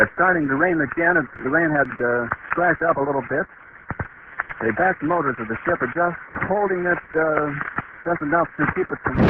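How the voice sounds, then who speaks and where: A man with an American accent speaks at a moderate pace, his fairly high pitch showing ordinary variation. Long, frequent pauses break up his speech over noticeable background noise. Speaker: radio news reporter. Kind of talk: live radio news commentary. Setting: outdoors at the landing field, old low-quality recording. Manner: calm, measured, descriptive, eager.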